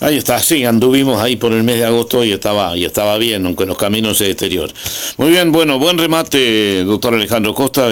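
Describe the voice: With lively intonation, the passage is read aloud plainly.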